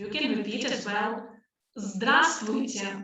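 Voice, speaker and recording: In a Russian accent, a woman with a fairly high pitch speaks at a fairly slow pace with ordinary pitch variation, and audible room echo surrounds her voice. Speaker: language teacher. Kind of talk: webinar lesson. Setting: live online webinar. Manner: loud. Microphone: voice echoing.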